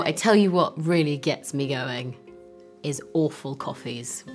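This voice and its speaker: A woman's lively intonation over faint music in the background. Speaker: actress. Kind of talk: interview answer. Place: hall.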